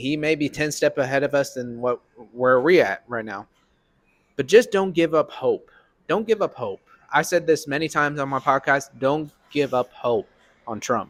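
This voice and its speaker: A man's fairly high-pitched voice with lively intonation at a moderate pace. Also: dry, close sound with no echo. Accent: Southern. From Arkansas, Little Rock. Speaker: podcast host. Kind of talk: political chat. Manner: casual.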